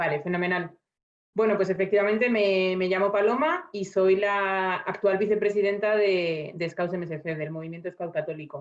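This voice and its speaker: The voice moves at a moderate pace with fairly even intonation. It is an unremarkable speaking voice. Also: woman, medium pitch for a woman. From Spain, Burgos. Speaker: vice-president of a scout association. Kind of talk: round-table discussion.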